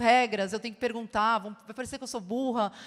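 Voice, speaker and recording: Her voice is fairly high-pitched for a woman, delivered in monotone, flat intonation. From Brazil. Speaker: advertising creative. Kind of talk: conference talk.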